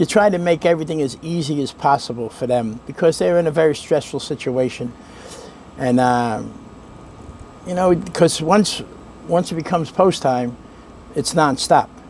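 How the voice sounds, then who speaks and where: With a Brooklyn accent, a man talks at a moderate pace. His pitch varies in an ordinary way. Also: long, frequent pauses. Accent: Brooklyn New York. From New York. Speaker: racetrack valet. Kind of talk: interview answer.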